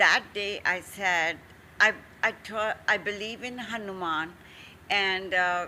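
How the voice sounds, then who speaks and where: Her tone is bright and sharp, at a medium pitch with ordinary pitch variation. The woman speaks at a very slow pace. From India. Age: 70s. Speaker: entrepreneur. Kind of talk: interview.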